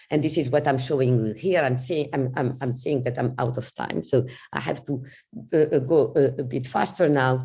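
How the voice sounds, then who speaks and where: Somewhat breathy, a woman with a very deep, low pitch and a dark, mellow tone speaks at a moderate pace with ordinary pitch variation, and audible room echo is present. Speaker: cancer immunology researcher. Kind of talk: scientific lecture. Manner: halting.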